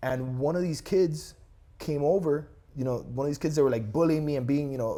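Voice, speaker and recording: Speaking very fast with a Miami accent, a man's fairly high voice carries a dark, mellow tone in a very clean recording with a silent background. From Miami, Florida (Cuban-born, arrived age 3). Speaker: real estate agent. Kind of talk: casual chat. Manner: animated.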